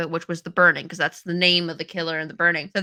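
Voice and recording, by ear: A woman with a New England accent speaks in a bright, sharp tone at a fairly low pitch. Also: dry, close sound with no echo.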